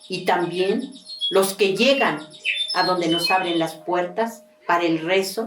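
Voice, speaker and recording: A woman with a fairly low pitch talks at a fairly slow pace, with audible room echo and noticeable background noise. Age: 70s. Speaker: traditional prayer leader. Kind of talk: testimony.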